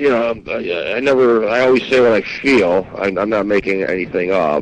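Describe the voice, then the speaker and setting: Speaking at a medium pitch, a man keeps a moderate tempo and varies his pitch in an ordinary way. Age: 50s. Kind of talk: casual chat. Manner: halting.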